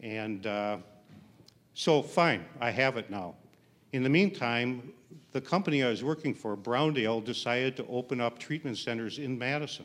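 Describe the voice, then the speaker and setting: An unremarkable speaking voice from a man with an American accent, medium in pitch, with ordinary pitch variation and a moderate pace. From Milwaukee, Wisconsin. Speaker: storyteller. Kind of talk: storytelling on stage. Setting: stage with audience.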